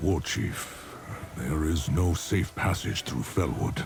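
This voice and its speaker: Clear background noise surrounds a man doing a put-on character voice at a very deep, low pitch. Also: fairly slow pace. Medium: video game.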